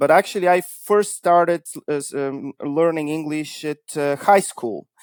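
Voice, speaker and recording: This man speaks with a Bulgarian accent. His pace is fairly slow. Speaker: cybersecurity consultancy founder. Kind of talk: interview podcast.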